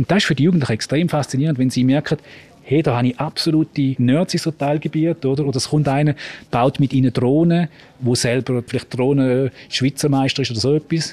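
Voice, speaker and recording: A man talks at a fairly quick pace with a fairly high pitch, a dark, mellow tone, fairly even intonation and very even loudness, the sound dry and close with no echo. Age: 40s. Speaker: school principal. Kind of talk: interview on location. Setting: on location in a school building.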